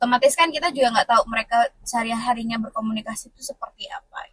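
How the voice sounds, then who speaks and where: Very fast and high-pitched, a woman's voice shows ordinary pitch variation and big swings in loudness in a dry, close recording with no echo. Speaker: vlogger leading group chat. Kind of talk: casual group chat.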